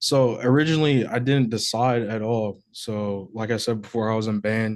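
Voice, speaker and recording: The speaker has a plain, everyday voice, a moderate pace and fairly even intonation. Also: man, medium pitch for a man. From US, moved around; home state Georgia, high school in Wisconsin. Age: 20s. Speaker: rapper. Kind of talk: interview.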